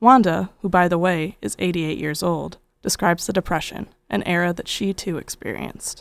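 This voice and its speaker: Speaking at a fairly quick pace, a woman uses ordinary pitch variation and vocal fry. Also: fairly low pitch for a woman. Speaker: documentary narrator. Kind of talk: documentary narration.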